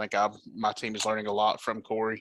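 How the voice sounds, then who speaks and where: In a southern Appalachian accent, a man speaks fairly quickly at a fairly low pitch with a bright, sharp tone. The recording is very clean and silent in the background, with a dry, close sound and no echo. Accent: country southern Appalachian. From southwest Virginia. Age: 20s. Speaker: sim racing team member, new podcast guest. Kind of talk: casual chat.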